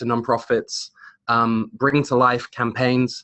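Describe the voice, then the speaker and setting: A man with a British accent at a fairly slow pace. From Britain. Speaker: creative director at digital agency. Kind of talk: webinar presentation. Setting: online webinar. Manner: hesitant, many fillers.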